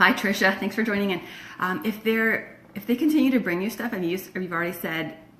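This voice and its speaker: A woman with an American accent talks at a fairly quick pace and a medium pitch. Her pitch varies in an ordinary way, with noticeable background noise behind her. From Florida by way of Michigan. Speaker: decluttering coach. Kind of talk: live stream Q&A. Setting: Facebook live video. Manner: casual, many fillers.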